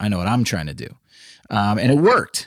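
An energetic voice with an American accent and lively intonation comes through in a very clean recording with a silent background. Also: man. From Central Texas. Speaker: podcast host, former country musician, real estate developer. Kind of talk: solo podcast monologue.

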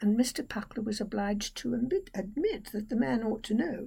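This plain reading aloud has ordinary pitch variation.

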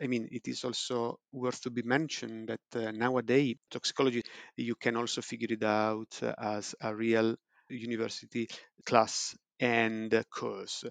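A man speaks in a flat monotone, the sound dry and close with no echo against a quiet background. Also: medium pitch for a man, moderate pace. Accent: Italian. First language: Italian. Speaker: preclinical toxicologist. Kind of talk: interview. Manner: hesitant, many fillers.

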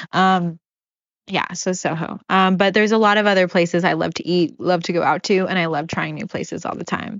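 At a fairly quick pace, a woman speaks in a medium pitch with fairly even intonation. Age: 30s. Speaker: podcast host. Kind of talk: casual solo monologue.

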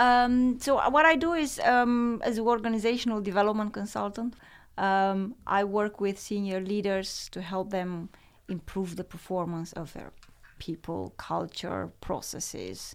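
A woman with a Romanian accent speaks at a medium pitch with ordinary pitch variation and big swings in loudness, recorded very cleanly against a silent background. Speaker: author and organizational development advisor. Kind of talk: interview.

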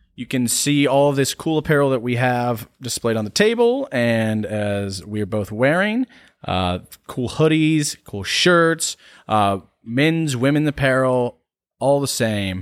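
A plain, everyday voice at a fairly slow pace with lively intonation, on a very clean recording with a silent background and a dry, close sound with no echo. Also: man, medium pitch for a man. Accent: American. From US South, North Carolina. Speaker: podcast co-host. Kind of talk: sponsor read; casual chat.

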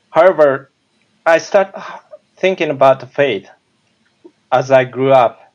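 A man with a Japanese accent speaks at a fairly slow pace in a fairly high voice, with ordinary pitch variation, very even loudness, and long, frequent pauses. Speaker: minister. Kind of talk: testimony.

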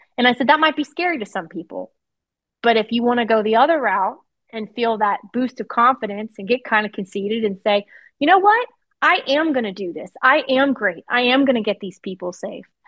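In an unremarkable speaking voice, a woman with an American accent talks at a fairly quick pace and fairly high pitch, with lively intonation and big swings in loudness. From Virginia. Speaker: 911 dispatcher and training officer. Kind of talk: interview, casual chat.

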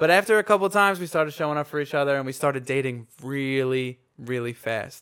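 Speaking at a very fast pace, a man with a fairly high pitch uses an animated tone and ordinary pitch variation. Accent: American. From Long Island, New York. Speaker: podcast co-host, musician. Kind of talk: casual chat. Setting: home studio.

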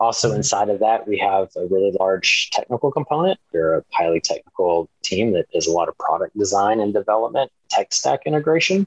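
This man talks at a fairly quick pace with an American accent, barely pausing. His loudness stays very even, and the sound is dry and close with no echo. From Texas, Dallas and East Texas. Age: 50s. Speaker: entrepreneur and professor. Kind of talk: interview. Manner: animated.

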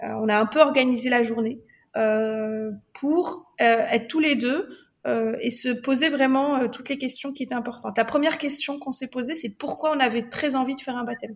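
A woman with a high pitch speaks at a moderate pace, her pitch varying in an ordinary way. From Morocco. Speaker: ritual celebrant, former engineer. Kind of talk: podcast interview.

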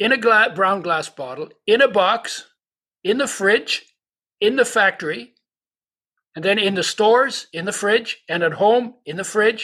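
Raised and projected, a man's high-pitched voice has a bright, sharp tone and lively intonation, broken by long, frequent pauses. The recording is very clean with a silent background. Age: 80s. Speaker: nutritionist and oil company founder. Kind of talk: casual interview.

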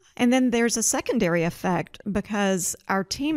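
Speaking in an unremarkable speaking voice with an American accent, a woman of medium pitch uses lively intonation at a moderate pace, the sound dry and close with no echo. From Georgia (US South). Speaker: forest products executive. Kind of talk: interview. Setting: studio (conference room).

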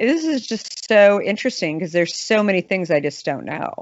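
With an American accent and a normal speaking voice, a woman at medium pitch speaks with lively intonation. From Arizona (Scottsdale). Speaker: beverage company founder and CEO. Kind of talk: casual interview.

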